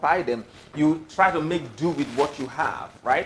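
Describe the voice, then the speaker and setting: A man talks with ordinary pitch variation while noticeable background noise continues. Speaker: film director. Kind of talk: talk to a live audience.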